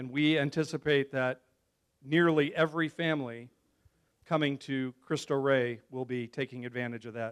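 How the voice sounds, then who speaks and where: Speaking in a normal speaking voice with an American accent, a man with a fairly high pitch keeps a moderate pace and fairly even intonation. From Chicago area, US Midwest. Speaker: school communications director, former TV broadcaster. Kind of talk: speech to a club luncheon.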